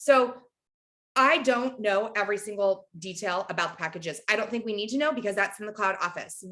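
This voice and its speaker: Talking fairly quickly in an animated tone, a woman has a bright, sharp sound, a medium pitch and ordinary pitch variation. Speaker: direct sales team leader. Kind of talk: team training talk. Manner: fast.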